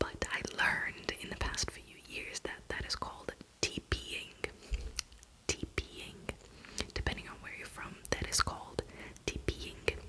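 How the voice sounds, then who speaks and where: In a whisper, words come at a very slow pace, broken by long, frequent pauses, with noticeable background noise behind them. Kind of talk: ASMR whisper video with enunciated words and accent tag questions. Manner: whispered, chatty, repeating questions.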